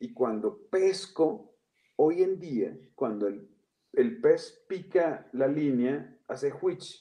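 Speaking at a very slow pace, a man with a high pitch and a dark, mellow tone makes very wide pitch swings. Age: 40s. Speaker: comedian and storyteller. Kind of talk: casual chat.

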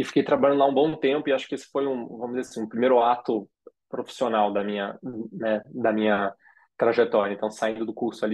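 Fairly even intonation from a man, his pitch in the medium range. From Rio de Janeiro, Brazil. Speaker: design school co-founder. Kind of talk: interview conversation. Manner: hesitant, many fillers.

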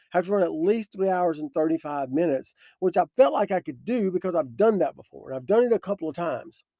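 Very fast and with hardly any pauses, a man with a high yet dark, mellow voice speaks with ordinary pitch variation and big swings in loudness, the sound dry and close with no echo. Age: 50s. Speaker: podcast host, devotional speaker. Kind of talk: devotional talk with personal story. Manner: hesitant, with frequent fillers.

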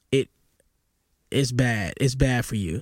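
On a very clean recording with a silent background, a man with an unremarkable speaking voice talks at a fairly slow pace, his pitch medium and its variation ordinary. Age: 40s. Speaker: podcast host. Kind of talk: solo commentary reacting to video clips.

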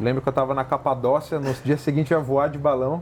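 This man's voice has a fairly high pitch. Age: 30s. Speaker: lawyer and entrepreneur. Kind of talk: interview. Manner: animated.

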